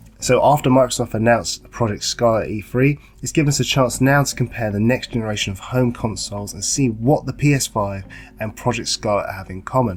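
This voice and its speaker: A man talks fairly quickly in a somewhat breathy voice at a medium pitch, with ordinary pitch variation. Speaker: gaming YouTuber. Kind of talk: casual talk to camera.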